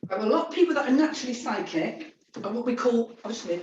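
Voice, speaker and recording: A woman talks at a fairly quick pace in a high pitch. Her voice makes very wide pitch swings. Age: 60s. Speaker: psychic medium. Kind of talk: interview.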